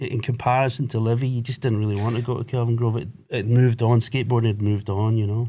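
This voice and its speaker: A man with a Glaswegian accent talks fairly quickly at a medium pitch. His tone is dark and mellow, and his intonation is monotone and flat. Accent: Glaswegian Scottish. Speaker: skate shop owner. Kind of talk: casual chat.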